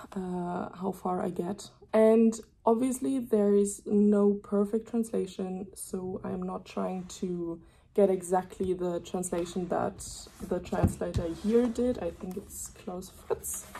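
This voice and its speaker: Speaking at a very slow pace with a German accent, this woman has a medium pitch, a dark, mellow tone, a somewhat breathy quality and fairly even intonation. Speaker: student vlogger. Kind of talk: casual vlog narration. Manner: hesitant with many fillers.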